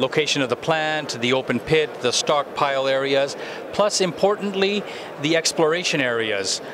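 At a moderate pace, a man speaks in a dry sound with no echo against noticeable background noise. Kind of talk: interview answer. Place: hall. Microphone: handheld.

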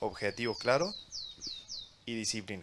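Very wide pitch swings mark this man's speech, heard over light background noise. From Argentina, Córdoba; Argentina. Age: young. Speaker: real estate developer; panelist. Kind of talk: panel discussion. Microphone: handheld.

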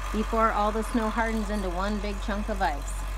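Fairly slow speech from a woman over noticeable background noise. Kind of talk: casual narration. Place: open country. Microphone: phone near.

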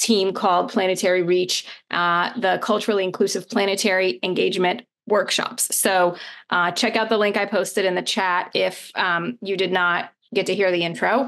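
A woman speaks at a moderate pace with fairly even intonation and very even loudness. The background is quiet. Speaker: scientist and science communicator. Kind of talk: meeting hosting. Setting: video call. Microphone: video call.

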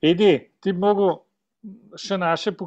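The background stays quiet. Only a man's voice is heard. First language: Slovenian. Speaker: club president hosting meeting. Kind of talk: casual chat. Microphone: video call.

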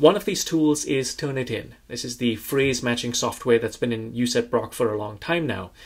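A man at a fairly quick pace, ordinary pitch variation, quiet background. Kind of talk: institutional video update. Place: office.

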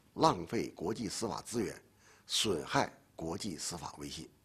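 The speaker is a man with a somewhat breathy voice. He goes at a fairly slow pace. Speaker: legal expert. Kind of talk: interview. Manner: formal. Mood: serious, firm. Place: studio.

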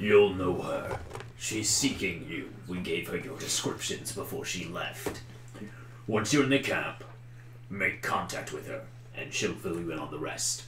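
A man in a put-on character voice at a fairly low pitch, over loud background noise. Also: moderate pace. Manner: solemn, commanding.

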